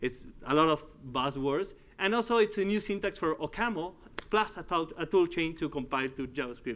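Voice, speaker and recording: This man speaks at a moderate pace with a high pitch and lively intonation. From Uruguay. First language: Spanish. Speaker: tech executive and conference speaker. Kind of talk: conference talk. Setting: stage with audience. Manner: halting.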